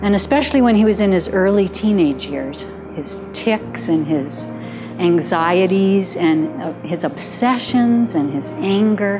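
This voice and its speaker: Clear music plays in the background as a woman speaks at a fairly slow pace. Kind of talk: documentary monologue. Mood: reflective, candid. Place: home room.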